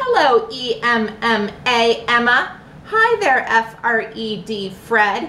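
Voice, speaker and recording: Over clear background noise, a woman puts on a character voice, fairly high in pitch and very slow in pace. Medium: read story. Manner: mild, easygoing.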